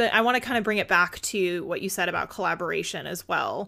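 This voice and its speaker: Lively intonation, a bright, sharp tone and vocal fry come through on a very clean recording with a silent background. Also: woman. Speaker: podcast host. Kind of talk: scripted intro then interview chat. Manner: upbeat and warm.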